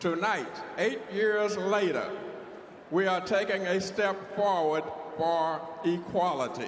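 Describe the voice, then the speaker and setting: A man with a high-pitched voice talks at a very slow pace, with long, frequent pauses, very even loudness and fairly even intonation, over noticeable background noise and audible room echo. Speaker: war veteran, convention delegate. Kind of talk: formal convention speech. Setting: convention hall with audience.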